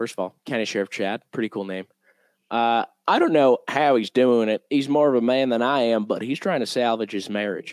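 A man with an ordinary speaking voice talks at a medium pitch and fairly quick pace with ordinary pitch variation, in a very clean recording with a silent background and a dry, close sound with no echo. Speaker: podcast host. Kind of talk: casual banter.

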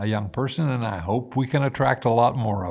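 A man with an American accent speaks at a fairly quick pace with vocal fry. The recording is very clean, with a silent background. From US Midwest, Indiana. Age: 80s. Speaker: former mayor. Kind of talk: casual interview conversation.

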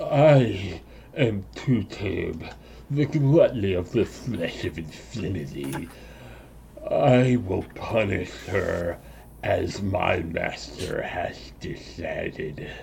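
Croaky and menacing in tone, a put-on character voice crawls along at a very slow pace against clear background noise. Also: man, fairly low pitch for a man. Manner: menacing, gluttonous.

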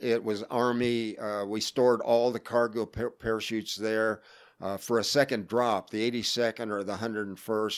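In a very clean recording with a silent background, a man with an American accent talks at a moderate pace, medium in pitch and monotone, with flat intonation. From Florida. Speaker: Vietnam war veteran. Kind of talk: interview. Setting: in person.

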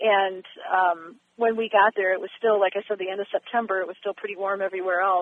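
Very fast, flat, monotone delivery from a woman with an American accent at a medium pitch. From Michigan, US. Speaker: attorney and judge. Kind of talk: radio interview. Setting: phone call. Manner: hesitant, many fillers.

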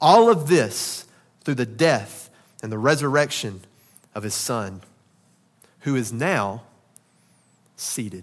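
A man with a Southern US accent and a medium-pitched voice speaks at a very slow pace, with lively intonation, big swings in loudness, and long, frequent pauses. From Arkansas. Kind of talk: sermon. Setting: church.

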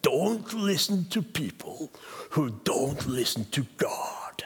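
Using a put-on character voice in a Welsh accent, the speaker talks at a very slow pace with a middle pitch. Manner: firebrand preaching.

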